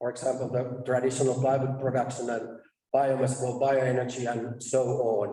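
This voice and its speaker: Monotone, flat delivery at a moderate pace, with audible room echo. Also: man, medium pitch for a man. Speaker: conference presenter, research task leader. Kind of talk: conference presentation. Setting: stage at a conference.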